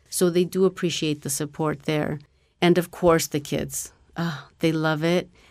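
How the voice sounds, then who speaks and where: Very deep and low for a woman, her voice carries an American accent and a flat, monotone delivery at a fairly slow pace in a very clean recording with a silent background. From Mexico, then US from age six. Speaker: STEM program coordinator. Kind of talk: interview.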